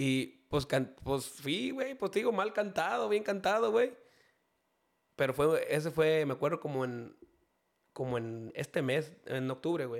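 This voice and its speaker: Pitched fairly high, a man speaks at a fairly slow pace. His pitch swings very widely. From Mexico, Jalisco. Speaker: banda singer. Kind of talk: casual chat.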